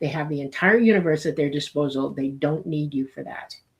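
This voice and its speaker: This is a woman speaking. Her voice is very deep and low. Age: 60s. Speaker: UFO commentator. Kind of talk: interview.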